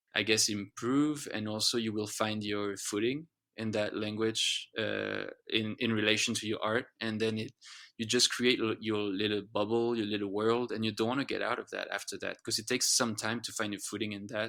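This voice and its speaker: A man's fairly low, bright, sharp voice with a French accent, monotone and flat at a moderate pace, on a very clean recording with a silent background. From France. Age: 30s. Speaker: singer-songwriter. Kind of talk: podcast interview. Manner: halting, many restarts and repeats.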